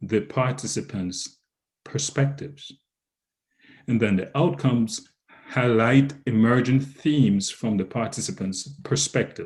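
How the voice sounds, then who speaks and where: Speaking fairly slowly with a Jamaican accent, a man uses a somewhat breathy voice with ordinary pitch variation. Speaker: researcher presenter. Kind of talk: lecture. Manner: halting.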